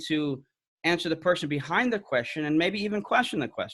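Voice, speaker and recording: Recorded very cleanly against a silent background, a man talks at a fairly quick pace. His pitch varies in an ordinary way. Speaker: apologetics speaker. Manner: fast.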